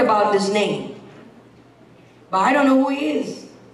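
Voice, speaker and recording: The speaker goes at a fairly slow pace with ordinary pitch variation over noticeable background noise. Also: woman. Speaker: guest preacher. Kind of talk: sermon. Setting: church.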